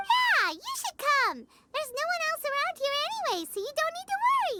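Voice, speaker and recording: Over music in the background, a put-on character voice squeaks at an extremely high pitch. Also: moderate pace. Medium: video game. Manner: bubbly, fast, excitable.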